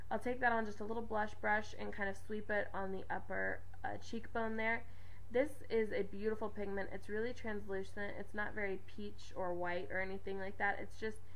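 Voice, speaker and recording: Amid noticeable background noise, a woman's voice carries audible room echo. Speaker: beauty vlogger. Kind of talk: tutorial. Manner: fast.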